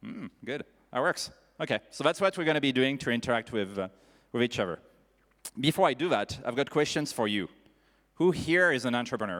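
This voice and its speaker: A man with a French accent talks very fast with lively intonation and long, frequent pauses, on a very clean recording with a silent background. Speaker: panel moderator. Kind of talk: panel discussion moderation. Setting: stage with audience. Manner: animated.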